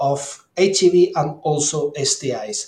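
A man with a Spanish accent and a fairly high-pitched voice. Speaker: clinical microbiologist and health ministry official. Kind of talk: interview. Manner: halting.

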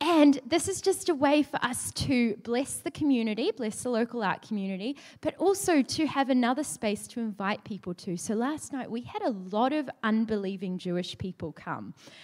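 Moderate pace and very wide pitch swings in a woman's fairly high voice. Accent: New Zealand. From New Zealand. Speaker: ministry worker. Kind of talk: church talk. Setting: church stage with microphone and audience.

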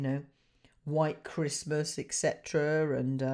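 Speech comes at a very slow pace with a dark, mellow tone and fairly even intonation. The recording is very clean, with a silent background. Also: woman. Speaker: radio show presenter. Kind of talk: casual, chatty. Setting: radio studio.

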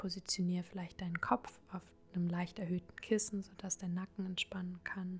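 Her medium-pitched voice stays monotone, as this woman speaks with flat intonation. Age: 20s. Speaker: podcast host and psychology student. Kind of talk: guided meditation. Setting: home recording. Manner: slow; soft-spoken.

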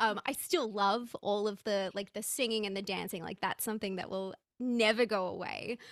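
With an Australian accent, a woman speaks at a moderate pace. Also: medium pitch for a woman. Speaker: personal branding coach. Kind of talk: interview conversation.

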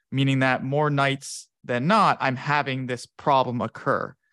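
A man with an American accent, medium pitch and a moderate pace, an ordinary speaking voice, dry, close sound with no echo, quiet background. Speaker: researcher. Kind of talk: casual interview chat.

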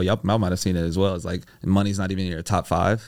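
A very clean recording of a man against a silent background. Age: 20s. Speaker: entrepreneur, online course creator. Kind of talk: casual interview chat. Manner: animated.

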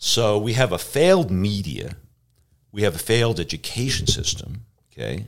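A man speaks at a moderate pace with lively intonation. His fairly low voice carries some vocal fry. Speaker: professor of atmospheric sciences. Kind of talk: interview conversation. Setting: studio.

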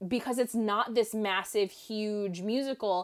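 This is an unremarkable speaking voice from a woman, pitched in the medium range with ordinary pitch variation. She talks at a fairly slow pace on a very clean recording with a silent background. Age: 30. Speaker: filmmaker and film analyst. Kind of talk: casual chat.

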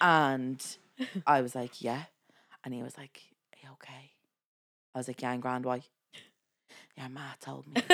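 With an Irish accent, a woman speaks at a moderate pace in a very deep, low pitch, using monotone, flat intonation, big swings in loudness, and long, frequent pauses. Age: 20s. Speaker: podcast co-host and nurse. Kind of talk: casual chat. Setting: studio recorded on camera.

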